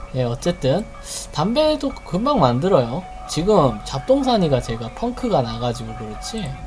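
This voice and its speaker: Music plays in the background as the speaker goes at a fairly slow pace. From Gyeongsang province, South Korea. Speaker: game streamer. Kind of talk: gameplay tutorial commentary. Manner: casual, chatty.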